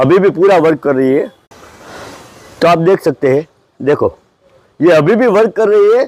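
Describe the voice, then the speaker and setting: A man speaks with a Gujarati accent. His pitch is high. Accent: Gujarati-tinged Hindi. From Gujarat, India (Junagadh). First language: Gujarati (speaking Hindi). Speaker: photographer and gadget reviewer. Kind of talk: casual product review. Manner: halting, many fillers.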